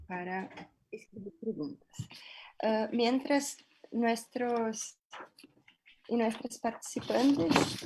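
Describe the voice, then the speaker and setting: Her pitch fairly high, a woman speaks with a Brazilian accent. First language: Portuguese (speaking Spanish). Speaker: panel moderator. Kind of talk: academic panel discussion. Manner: hesitant, many fillers.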